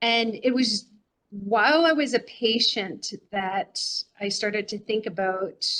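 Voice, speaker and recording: A woman is speaking. Her pace is fairly slow. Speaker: nurse and cancer survivor. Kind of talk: conference panel conversation.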